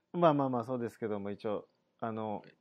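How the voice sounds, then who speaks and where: In a quiet background, a man talks at a fairly quick pace. His pitch variation is ordinary. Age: 40s. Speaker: podcast host. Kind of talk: casual interview.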